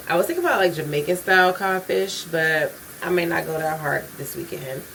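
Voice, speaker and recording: With noticeable background noise behind her, a woman speaks at a fairly quick pace. Her voice is fairly low, with ordinary pitch variation. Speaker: vlogger. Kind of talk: casual vlog talk. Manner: fast, rushed; occasional stuttering.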